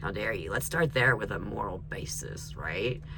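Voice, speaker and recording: There's audible room echo and noticeable background noise as a man with an American accent speaks at a moderate pace. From US, mixed North and South. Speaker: tarot reader. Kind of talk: tarot reading. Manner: animated.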